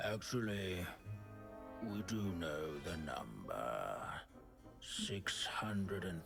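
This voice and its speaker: Clear music plays behind a man doing a put-on character voice, pitched very deep and low. He speaks very slowly, with long, frequent pauses. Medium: video game. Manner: droning, rambling, absent-minded.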